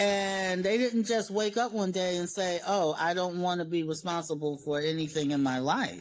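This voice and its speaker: A woman with an American accent talks at a moderate pace in a fairly low pitch, with ordinary pitch variation. She has an ordinary speaking voice and very even loudness. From New York, Long Island. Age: 60s. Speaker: former program beneficiary, grandmother. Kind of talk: interview.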